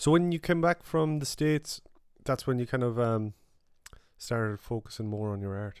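A man speaks with a medium pitch at a moderate pace. His intonation is lively. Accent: Irish. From Mayo, west of Ireland. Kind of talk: casual chat.

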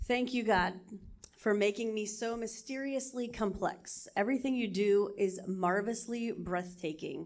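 A woman with a normal speaking voice and a fairly high pitch talks at a fairly slow pace with ordinary pitch variation. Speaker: church member. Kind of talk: reading aloud.

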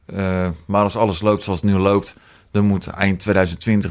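A man with a very deep, low voice is heard on a very clean recording with a silent background. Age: 20s. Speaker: business owner. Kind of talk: casual interview.

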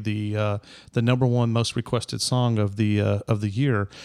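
A fairly quick delivery in a Southern US accent, with fairly even intonation, in a very clean recording against a silent background. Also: man. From US South, Middle Tennessee. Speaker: podcast guest. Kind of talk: casual chat.

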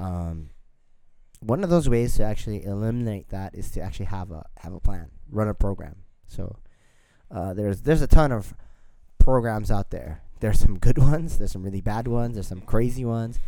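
A man's fairly low voice with a dark, mellow tone, lively intonation, big swings in loudness, a fairly quick pace and audible room echo. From Filipino. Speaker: podcast co-host, fitness coach. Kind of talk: casual chat.

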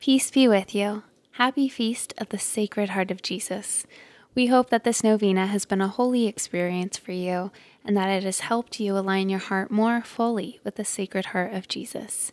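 A woman with a plain, everyday voice speaks at a medium pitch and moderate pace with fairly even intonation, in a dry, close sound with no echo on a very clean recording with a silent background. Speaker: prayer podcast host. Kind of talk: fervent prayer, led devotional prayer read aloud. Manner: warm and gentle, sincere.

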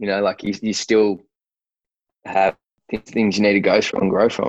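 This man has an Australian accent. His pitch sits fairly low. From Australia, Sydney. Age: 30s. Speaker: sportswear founder and fighter manager. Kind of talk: casual interview chat. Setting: remote call. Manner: halting, many fillers.

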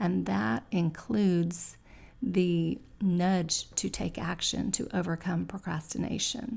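A woman's very slow, fairly low voice with vocal fry and lively intonation. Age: middle-aged. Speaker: podcast host, goal-setting coach. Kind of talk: motivational talk. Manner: softer than usual.

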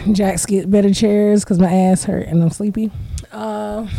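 A woman with an American accent speaks at a moderate pace and a medium pitch, with noticeable background noise. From Florida. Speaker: podcast co-host. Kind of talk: casual chat.

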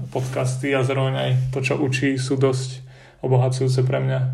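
A man talks at a moderate pace, with room echo clearly audible. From central Slovakia, between Lučenec and Detva. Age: 20s. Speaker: art student. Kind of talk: interview.

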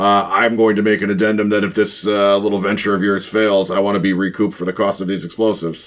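A man rattles off lines at a very fast pace with hardly any pauses, in a raspy, fairly low put-on character voice with monotone, flat intonation. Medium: actual play. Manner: pragmatic.

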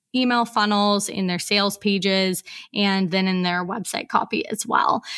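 A woman with an American accent has an ordinary speaking voice at a medium pitch and moderate pace, in a very clean recording with a silent background. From US Pacific Northwest (Portland, Oregon). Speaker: copywriter and business consultant. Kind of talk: podcast interview.

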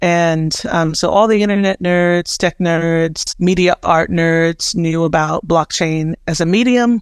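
A plain, everyday voice from a woman, fairly low in pitch, with fairly even intonation and a fairly slow pace, in a dry, close sound with no echo. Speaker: web3 creative entrepreneur and curator. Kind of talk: casual interview conversation.

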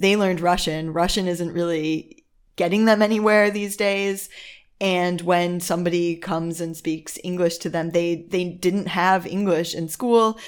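In an American accent, a woman with a fairly low pitch speaks at a fairly slow pace with fairly even intonation. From Chicago suburbs, US. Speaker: podcast host, expat parent. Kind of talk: casual chat.

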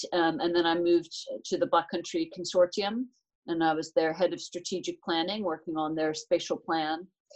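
A woman with an American accent at a moderate pace. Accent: American, retained. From United States. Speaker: transport managing director. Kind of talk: live interview.

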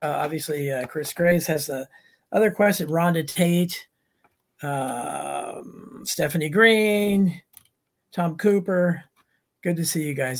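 Here is a man with a normal speaking voice. His pitch is fairly high, with ordinary pitch variation. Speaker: podcast host and author. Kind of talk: interview.

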